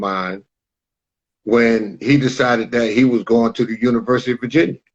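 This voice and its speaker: This man speaks fairly quickly at a medium pitch. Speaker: author and sports parent coach. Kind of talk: interview. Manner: loud.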